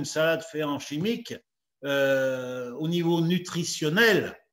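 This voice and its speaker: With ordinary pitch variation, a man talks amid audible room echo. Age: 70s. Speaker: retired farmer and speaker. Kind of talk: talk and Q&A. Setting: video call. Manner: halting, many fillers.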